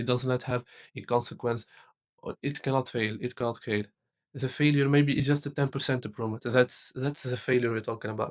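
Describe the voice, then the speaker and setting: In a very clean, dry, close recording with no echo and a silent background, a man with a non-native accent speaks fairly quickly at a medium pitch in a monotone, flat way. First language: not English. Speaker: tech content creator. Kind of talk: motivational talk to camera. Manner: halting, many repetitions and fillers.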